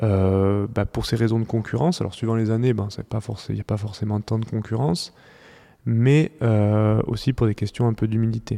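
Here a man speaks at a medium pitch. His tone is dark and mellow, with fairly even intonation. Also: moderate pace. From southwest France, near Toulouse. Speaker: winemaker. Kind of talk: interview. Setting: at his wine estate. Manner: halting, many fillers.

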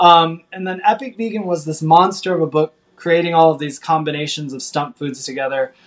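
A man with an American accent and an unremarkable speaking voice talks fairly quickly at a fairly high pitch, with ordinary pitch variation and big swings in loudness. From US Midwest. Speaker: vegan chef and cookbook author. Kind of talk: podcast interview.

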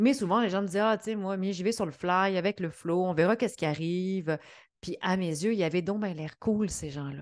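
A woman's medium-pitched voice with ordinary pitch variation over a quiet background. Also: fairly quick pace. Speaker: podcast host, entrepreneurship coach. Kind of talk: solo podcast monologue.

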